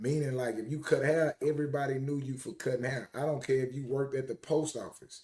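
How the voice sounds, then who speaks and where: A man's medium-pitched, somewhat breathy voice, moving at a fairly quick pace. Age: 40s. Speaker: apparel company founder and CEO. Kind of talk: podcast interview.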